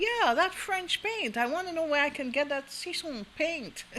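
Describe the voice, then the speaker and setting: Over clear background noise, a squeaky, high-pitched put-on character voice speaks at a moderate pace. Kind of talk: posh, proper.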